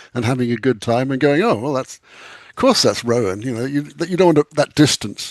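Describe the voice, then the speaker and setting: Speaking at a very fast pace in an English accent, a man with a medium pitch is heard against a quiet background with a dry, close sound and no echo. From England. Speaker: author and screenwriter. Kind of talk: casual chat.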